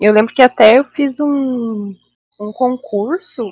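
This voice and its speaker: A woman's fairly high voice at a very slow pace, with ordinary pitch variation and a dry, close sound free of echo. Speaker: biologist. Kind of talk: casual chat.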